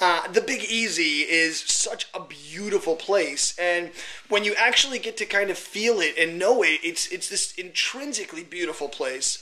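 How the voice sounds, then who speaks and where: Noticeable background noise sits behind a voice that is raised and projected. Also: man. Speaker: magician and hypnotist. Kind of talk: casual talk to camera. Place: home room. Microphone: phone near.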